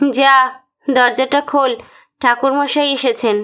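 A woman's put-on character voice, high-pitched, with fairly even intonation and a fairly slow pace. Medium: audio drama. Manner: brisk, commanding.

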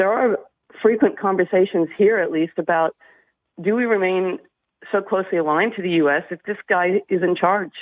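A woman talks at a moderate pace with ordinary pitch variation. The sound is dry, with no echo, and the background is quiet. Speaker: radio caller. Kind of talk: caller opinion on talk radio. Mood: concerned, earnest. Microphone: phone line.

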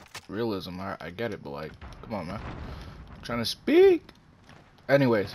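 With a normal speaking voice, a man of fairly low pitch talks at a fairly slow pace, his intonation lively and his loudness swinging widely. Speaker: gaming YouTuber. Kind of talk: live gameplay commentary with an angry rant about YouTube. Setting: home recording while playing a game. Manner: irritated, ranting, casually profane; distracted, chatty, reacting to the game mid-sentence.

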